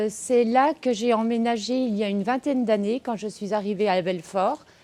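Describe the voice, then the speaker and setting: Her dark, mellow tone sits at a fairly high pitch, and this woman's pitch varies in an ordinary way. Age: 40s. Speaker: social worker. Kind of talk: campaign testimonial. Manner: hesitant, many fillers.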